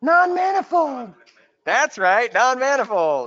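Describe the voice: A man puts on a character voice. It is extremely high in pitch and delivered at a fairly slow pace.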